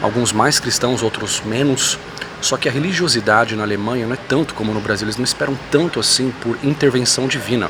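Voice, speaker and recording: A soft-spoken man talks at medium pitch and a fairly quick pace with ordinary pitch variation. Background noise is noticeable. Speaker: YouTuber commenting on religion and politics. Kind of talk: vlog monologue. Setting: airport.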